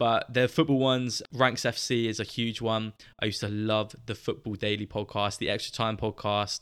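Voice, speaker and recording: A man speaks at a moderate pace in a southern English accent, with ordinary pitch variation. The recording is very clean, with a silent background. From southern England, Southampton. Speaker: football podcast host. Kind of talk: solo podcast monologue. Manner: casual, chatty.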